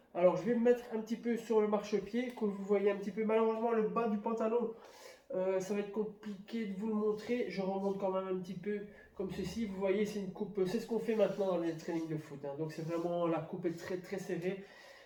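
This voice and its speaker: Amid noticeable background noise and audible room echo, a man talks at a fairly quick pace with fairly even intonation and a high pitch. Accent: Belgian. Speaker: YouTuber. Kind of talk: product unboxing review. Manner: hesitant, many fillers.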